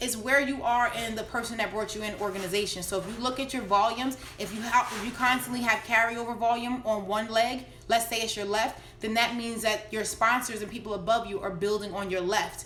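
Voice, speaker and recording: Over noticeable background noise, a woman talks at a fairly quick pace with hardly any pauses, in a fairly high, monotone, flat voice. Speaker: network marketing coach. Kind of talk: live stream Q&A tutorial. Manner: fast.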